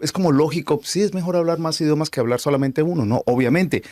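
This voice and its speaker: This man has a Colombian accent and a fairly high pitch. His voice makes very wide pitch swings. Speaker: podcast host. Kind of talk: casual chat.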